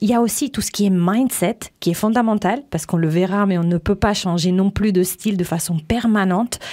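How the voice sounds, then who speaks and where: This woman talks at a moderate pace. She speaks in an Italian accent. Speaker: image coach and radio host. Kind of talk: interview.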